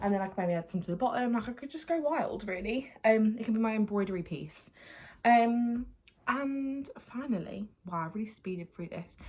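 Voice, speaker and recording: The voice is somewhat breathy, with an Essex accent. Its intonation is lively and its loudness swings widely. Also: woman, fairly high pitch for a woman. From Essex, England. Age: 20s. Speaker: lifestyle YouTuber. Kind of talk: casual vlog haul. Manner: fast.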